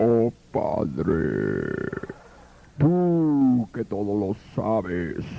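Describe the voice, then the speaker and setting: A man puts on a character voice of medium pitch, with very wide pitch swings. He goes very slowly, with long, frequent pauses. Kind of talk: prayer. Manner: solemn, hollow, ghostly.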